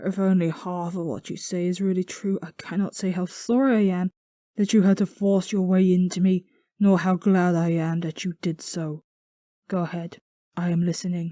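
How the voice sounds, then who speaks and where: A female-sounding put-on character voice at a middle pitch moves at a moderate pace on a very clean recording with a silent background. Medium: read story. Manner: emphatic, exclamatory.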